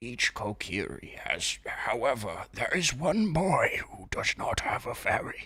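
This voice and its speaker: In a put-on character voice, a raspy man talks at a fairly slow pace with a fairly high pitch and hardly any pauses. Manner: dramatic, storytelling.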